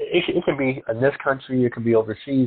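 A man speaks at a fairly quick pace. He has a plain, everyday voice with a fairly high pitch. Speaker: podcast host. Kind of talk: interview.

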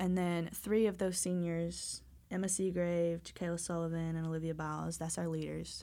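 Audible room echo is present in this recording. A woman talks at a moderate pace. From Georgia. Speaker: college softball player. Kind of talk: casual chat.

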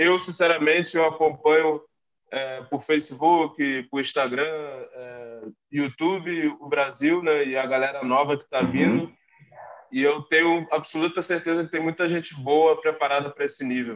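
A man keeps a moderate pace and fairly even intonation as he talks. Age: 30s. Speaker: American football player. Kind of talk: casual interview. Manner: halting, many fillers.

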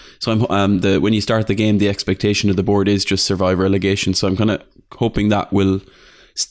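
In an Irish accent, a man talks at a very fast pace with monotone, flat intonation and a fairly low pitch, in a very clean recording with a silent background. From Ireland. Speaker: football video game podcaster. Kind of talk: casual chat.

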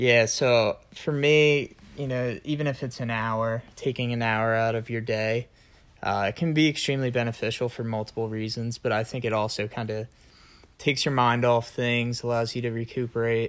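A man talks in a plain, everyday voice at medium pitch, with fairly even intonation and a moderate pace. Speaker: college student, host's boyfriend. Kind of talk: casual chat.

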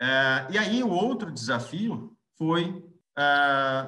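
Lively intonation in a man's voice pitched fairly high. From Brazil, Londrina (Paraná). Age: 40s. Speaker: business executive. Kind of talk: interview, career storytelling. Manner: halting, frequent restarts.

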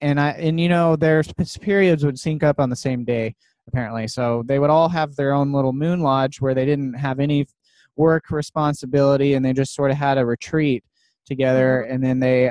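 The man has a plain, everyday voice at a fairly high pitch, speaking at a moderate pace. His intonation is fairly even, and the sound is dry and close with no echo. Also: very even loudness. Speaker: podcast host. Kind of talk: casual interview chat.

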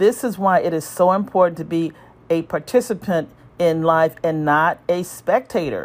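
A woman with an ordinary speaking voice, at a moderate pace with ordinary pitch variation. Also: fairly low pitch for a woman. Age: 60s. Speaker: emergency room physician. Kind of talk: scripted narration. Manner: formal.

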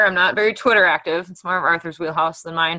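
A woman with a Midwestern US accent speaks in a bright, sharp tone. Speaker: astrologer and podcast host. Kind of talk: casual podcast conversation. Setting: remote, on a call from Milwaukee.

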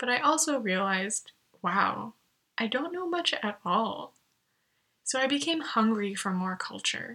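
Speaking at a fairly slow pace, this voice has a bright, sharp tone and lively intonation, with an American accent. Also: woman. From US, California (Los Angeles). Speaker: podcast host, artist and entrepreneur. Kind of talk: solo reflective monologue.

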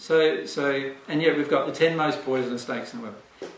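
A man speaks with an Australian accent and ordinary pitch variation. Noticeable background noise runs behind him. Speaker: spiritual teacher. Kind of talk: seminar talk. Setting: live audience.

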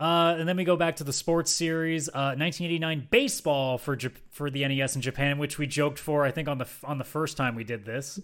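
On a very clean recording with a silent background, a man with a fairly high pitch races along at a very fast pace with fairly even intonation and hardly any pauses. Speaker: retro gaming podcast host. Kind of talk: casual chat. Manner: fast talker.

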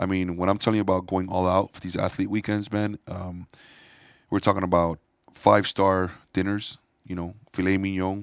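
Very deep, low male voice with an American accent, monotone and flat, with big swings in loudness in a dry, close sound with no echo. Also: very clean recording, silent background. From Miami, Florida. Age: 40s. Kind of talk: casual chat.

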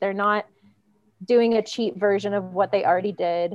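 A woman with an American accent speaks in a normal speaking voice, at medium pitch and a moderate pace, with fairly even intonation. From Venezuela, raised partly in US East Coast. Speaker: artist and muralist. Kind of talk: casual interview chat.

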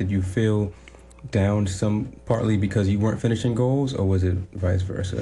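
A man with a very deep, low voice speaks at a moderate pace, his tone dark, mellow and somewhat breathy, with ordinary pitch variation. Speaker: radio host. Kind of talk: casual interview chat. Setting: studio with live video.

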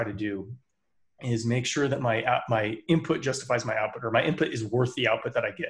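On a very clean recording with a silent background, a somewhat breathy man speaks at a fairly quick pace with a medium pitch and ordinary pitch variation. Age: 30s. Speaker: podcast co-host, athlete. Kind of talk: casual chat. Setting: live stream.

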